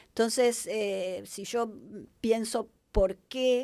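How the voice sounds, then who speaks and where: A woman's dark, mellow tone is heard on a very clean recording with a silent background. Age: 60s. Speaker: hospitality business consultant. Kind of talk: podcast interview. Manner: hesitant with frequent fillers and restarts.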